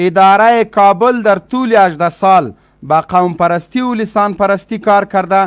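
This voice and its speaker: A man's high-pitched voice at a moderate pace, ordinary pitch variation, quiet background. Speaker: political spokesman. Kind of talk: heated debate.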